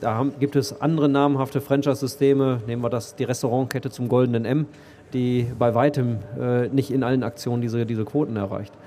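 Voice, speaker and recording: Using fairly even intonation, a man with an unremarkable speaking voice talks in a medium pitch. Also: fairly quick pace. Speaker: IT company executive. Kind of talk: interview. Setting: stage at a trade fair. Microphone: old poor microphone.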